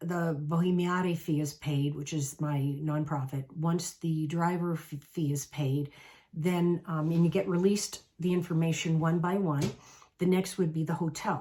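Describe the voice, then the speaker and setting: Somewhat breathy and fairly low in pitch, a woman with an American accent speaks with fairly even intonation. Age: 60s. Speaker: travel coach. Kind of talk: casual talk to camera.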